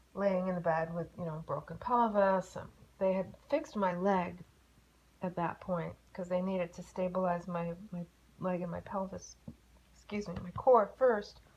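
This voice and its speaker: Somewhat breathy, a woman talks at a moderate pace. Her intonation is fairly even. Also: medium pitch for a woman. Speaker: car crash survivor. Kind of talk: interview testimony. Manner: casual, halting.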